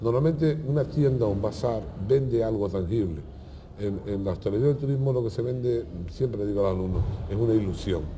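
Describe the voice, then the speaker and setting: Against light background noise, a man with a Canarian accent talks at a fairly quick pace, somewhat breathy, with ordinary pitch variation. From Canary Islands. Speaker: hospitality teacher. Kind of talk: interview. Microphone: lapel.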